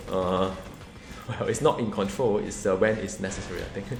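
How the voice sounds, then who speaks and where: Over noticeable background noise and audible room echo, a man speaks. His tone is animated and his pace fairly quick. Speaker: gaming YouTuber. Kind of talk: gameplay commentary. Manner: fast.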